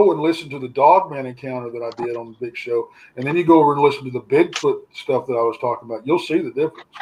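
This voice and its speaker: This speech moves at a fairly quick pace. It is delivered in an American accent. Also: man. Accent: Texan accent, shows when relaxed. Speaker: paranormal researcher. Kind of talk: casual chat. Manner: relaxed.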